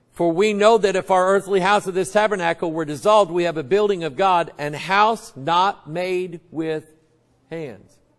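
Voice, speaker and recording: High-pitched male voice, quiet background. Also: ordinary pitch variation, moderate pace. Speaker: pastor. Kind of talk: sermon. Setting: church. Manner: casual, conversational. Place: church.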